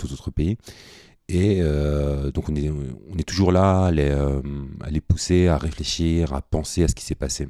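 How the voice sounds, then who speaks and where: Dry and close with no echo, a man's very deep, low, dark and mellow voice moves at a fairly slow pace. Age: 30s. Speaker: social worker. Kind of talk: radio interview.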